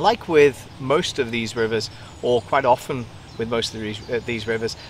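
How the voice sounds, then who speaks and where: A man at a moderate pace with ordinary pitch variation, dry sound with no echo and light background noise. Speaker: presenter. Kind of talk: casual vlog chat. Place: waterside. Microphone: phone near.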